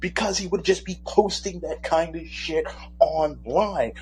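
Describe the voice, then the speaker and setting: There is noticeable background noise as a man talks with an American accent. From Michigan. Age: 30s. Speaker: caller. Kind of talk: casual call-in chat. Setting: phone call.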